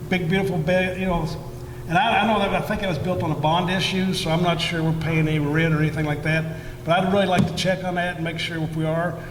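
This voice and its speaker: A loud man's voice, high in pitch, with monotone, flat intonation at a very fast pace, amid noticeable background noise and audible room echo. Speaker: school board candidate. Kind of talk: candidate forum answer. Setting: event hall with audience. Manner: halting.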